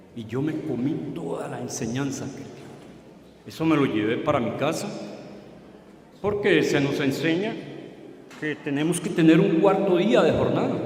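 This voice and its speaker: Over noticeable background noise and audible room echo, a man with a fairly high pitch speaks at a fairly slow pace with lively intonation and long, frequent pauses. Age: 60s. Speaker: former evangelical pastor. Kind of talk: testimony.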